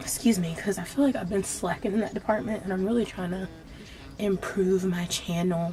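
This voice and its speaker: A woman talks at a fairly quick pace while noticeable background noise carries on. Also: medium pitch for a woman, ordinary pitch variation. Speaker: beauty vlogger. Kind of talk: casual storytime while doing makeup. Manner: casual, filler-heavy.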